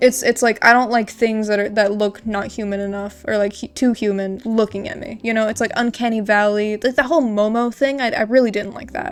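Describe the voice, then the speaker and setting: Speaking with an American accent at a fairly quick pace with hardly any pauses, the voice keeps fairly even intonation but shows big swings in loudness, with noticeable background noise. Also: woman, fairly high pitch for a woman. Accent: American twang. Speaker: art youtuber. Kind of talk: casual drawing commentary. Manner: halting, many fillers and repeats; sounds sarcastic though earnest.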